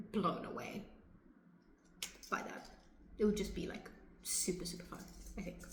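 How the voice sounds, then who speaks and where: There is noticeable background noise behind the speaker. She is a woman with a medium pitch. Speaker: interviewed author. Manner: uses many filler words.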